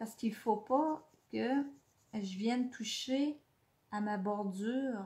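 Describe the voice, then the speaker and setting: A woman talks in a Quebec accent, her voice fairly high and somewhat breathy. Her pitch varies in an ordinary way. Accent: Québécois French. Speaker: scrapbooking instructor. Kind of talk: live craft tutorial. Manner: hesitant, many fillers.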